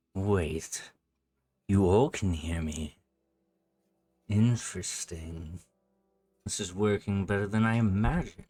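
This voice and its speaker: Long, frequent pauses in a man's put-on character voice, fairly low-pitched and fairly slow. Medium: actual play. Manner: calm, intimate, persuasive.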